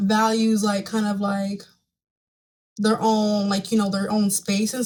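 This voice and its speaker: Somewhat breathy, fairly high-pitched woman's voice at a fairly slow pace. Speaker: tarot reader. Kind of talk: tarot reading monologue.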